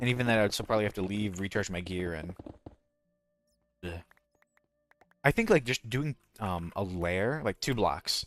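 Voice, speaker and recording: Mumbling at a fairly quick pace, a man with a fairly low pitch and lively intonation is heard in a dry, close recording with no echo. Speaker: gaming streamer. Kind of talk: casual live-stream commentary. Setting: live stream.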